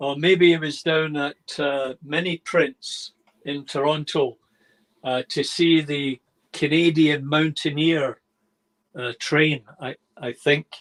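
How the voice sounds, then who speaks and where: Man with a Scottish accent, fairly high pitch, fairly even intonation and a very slow pace, in a dry, close sound with no echo. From Scotland, Glasgow. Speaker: model railway hobbyist. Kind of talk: casual chat, video call. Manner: hesitant, many fillers.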